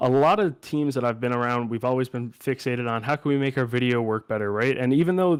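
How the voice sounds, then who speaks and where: A man with an unremarkable speaking voice at medium pitch, fairly quick and fairly even in intonation, on a very clean recording with a silent background. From Canada, Newfoundland (Clarenville). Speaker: graduate student presenter. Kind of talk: research presentation.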